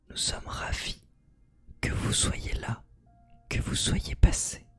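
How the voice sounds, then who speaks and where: Whispering unfolds at a very slow pace with music in the background. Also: man. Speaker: streamer. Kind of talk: ASMR live stream chat. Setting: live stream.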